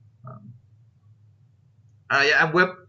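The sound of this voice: Slow and bright with a sharp tone, a man's fairly high pitch shows ordinary pitch variation amid audible room echo.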